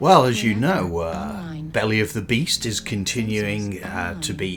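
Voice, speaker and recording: Against noticeable background noise, a man with a fairly low voice speaks with lively intonation. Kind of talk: comedic co-host banter over gameplay.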